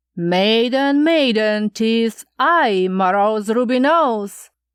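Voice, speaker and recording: A woman puts on a character voice at a fairly high pitch. She speaks at a very slow pace. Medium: read story. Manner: sing-song, repetitive questioning.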